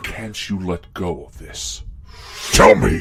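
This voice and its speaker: A man uses a put-on character voice. He talks at a fairly slow pace. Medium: audio drama. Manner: imperious, menacing.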